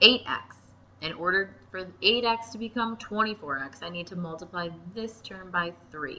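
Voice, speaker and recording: Over noticeable background noise, a woman at a medium pitch speaks with big swings in loudness and ordinary pitch variation. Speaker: math teacher. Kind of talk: tutorial.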